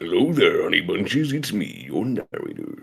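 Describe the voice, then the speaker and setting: Putting on a character voice, the man keeps his delivery at a moderate pace. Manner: sweet, endearing.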